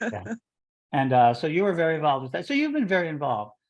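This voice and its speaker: With a Chicago accent, a man speaks at a fairly high pitch with lively intonation. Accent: Chicago accent, noticeable. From US Midwest, Chicago. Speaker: interview show host, religious order leader. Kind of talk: casual interview.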